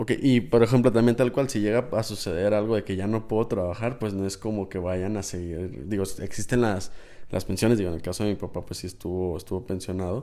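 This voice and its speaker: Talking at a fairly quick pace, a man with a fairly low pitch has a dark, mellow tone and ordinary pitch variation. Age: 20s. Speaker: listener representative. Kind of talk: casual chat. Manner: halting, repeats words.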